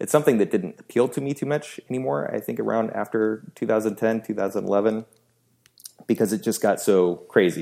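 A man with an American accent talks at a fairly quick pace in a fairly low, dark, mellow voice with vocal fry. His pitch varies in an ordinary way. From US Pacific Northwest, Seattle. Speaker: WordPress theme designer and entrepreneur. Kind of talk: casual chat.

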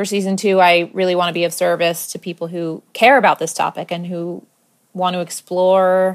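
A woman talks at a moderate pace with an American accent and a medium pitch. The recording is very clean, with a silent background. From US, Maryland. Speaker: podcast host. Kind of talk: personal monologue. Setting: home apartment, not studio.

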